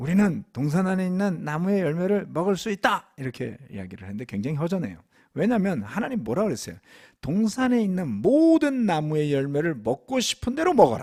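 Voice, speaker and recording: The recording is very clean, with a silent background. A man talks fairly quickly, his pitch swinging very widely. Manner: preaching, explaining.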